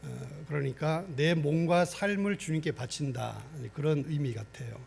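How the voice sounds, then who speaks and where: This man speaks at a fairly slow pace in a fairly high, somewhat breathy voice with ordinary pitch variation. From Gangwon Province, Korea. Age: 60s. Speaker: pastor. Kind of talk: sermon. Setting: church.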